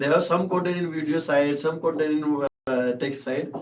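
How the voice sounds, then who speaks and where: The speaker has a Rajasthani accent and keeps a moderate pace. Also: man. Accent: Indian (Rajasthani) English. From Rajasthan, India. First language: Shekhawati (Rajasthani dialect). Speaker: startup founder and CEO. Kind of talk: podcast interview answer.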